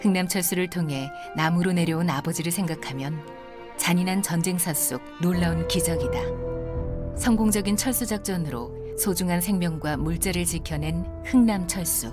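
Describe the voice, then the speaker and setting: With music in the background, a woman speaks in a calm tone at a fairly slow pace. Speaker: voice actor. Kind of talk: documentary narration. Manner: calm, comfortable.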